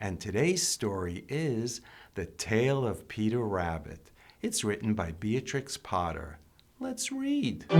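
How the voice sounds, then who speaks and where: Over background music, a man speaks at a very slow pace with a fairly low pitch. His tone is gentle and warm, with very wide pitch swings. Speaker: storytime reader, grandfather. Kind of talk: children's storybook read-aloud. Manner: gentle, warm, calm.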